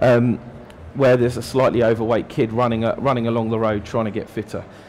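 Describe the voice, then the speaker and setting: In a British accent, a man rushes along at a very fast pace with monotone, flat intonation, his voice carrying audible room echo. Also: medium pitch for a man. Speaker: digital marketing strategist giving a talk. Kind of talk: conference talk. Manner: many fillers, hesitant.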